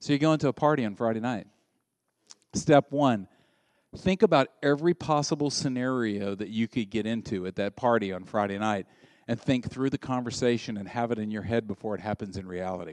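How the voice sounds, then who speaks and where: Over a quiet background, a man with a Southern US accent speaks fairly quickly and in an animated tone at a medium pitch, with ordinary pitch variation and a dry, close sound with no echo. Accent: Southern American. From US South. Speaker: pastor. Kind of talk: sermon. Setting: church.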